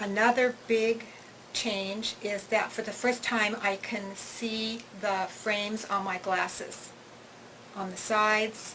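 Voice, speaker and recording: Monotone, flat speech from a woman at medium pitch, over noticeable background noise. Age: 60s. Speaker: patient. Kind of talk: testimony. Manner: halting.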